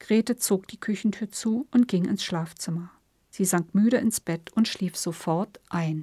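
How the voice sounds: With ordinary pitch variation, the speaker reads in a natural reading voice.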